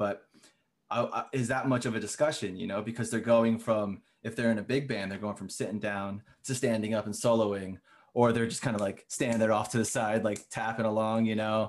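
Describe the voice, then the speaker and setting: Using a plain, everyday voice, a man talks at a fairly quick pace. His pitch is medium and his intonation fairly even. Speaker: podcast host, composer. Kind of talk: casual interview chat.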